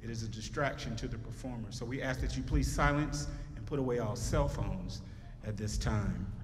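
Someone with an American accent speaks at a fairly quick pace. Noticeable background noise runs underneath. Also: man. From North Carolina. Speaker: concert program narrator and band alumnus. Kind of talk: formal event announcement, stage emcee welcome. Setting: school auditorium stage with audience. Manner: formal; polished, measured, announcer-like. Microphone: handheld.

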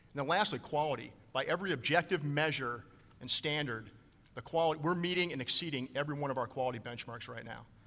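Talking at a very fast pace, a man uses a fairly high pitch and a bright, sharp tone with ordinary pitch variation. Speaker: navy admiral, recruiting commander; panelist. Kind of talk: conference panel talk. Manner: animated, gestures a lot. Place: hall. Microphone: podium.

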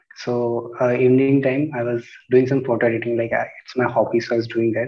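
A man speaks with an Indian accent. The background is quiet. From India, Rajasthan (Chittorgarh); Rajasthan, India. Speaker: exam topper, former bank officer; candidate. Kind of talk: interview. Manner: hesitant, many fillers. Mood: calm, polite. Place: home room. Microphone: earbuds.

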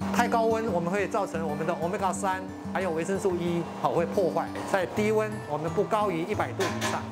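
A man at a fairly quick pace with clear music in the background. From Meinong, Kaohsiung, Taiwan. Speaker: retired engineer turned Inca nut farmer. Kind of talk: interview answer. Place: factory.

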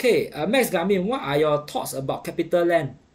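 Speaking at a fairly quick pace, the man has a high voice that swings very widely in pitch. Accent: Singaporean. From Singapore. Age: 40s. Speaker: investing livestream host. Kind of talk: casual livestream commentary on markets. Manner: casual, conversational with filler words. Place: home room. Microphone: webcam.

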